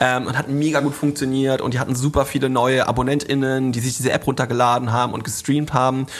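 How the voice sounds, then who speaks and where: With hardly any pauses, a man races along at a very fast pace in a monotone, flat intonation at medium pitch. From rural Germany. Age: 30s. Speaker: influencer marketing agency founder. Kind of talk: interview.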